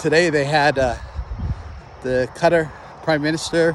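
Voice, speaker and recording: This man's voice has a fairly high pitch. His pitch varies in an ordinary way. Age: 60s. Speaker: retired army officer vlogger. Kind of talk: casual monologue. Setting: outdoors walking by a road. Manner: halting, many fillers.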